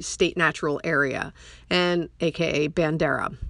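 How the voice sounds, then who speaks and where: An unremarkable speaking voice moves at a fairly slow pace with fairly even intonation. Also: woman. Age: 50s. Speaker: podcast host and trail runner. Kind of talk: personal storytelling monologue. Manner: casual, with frequent fillers.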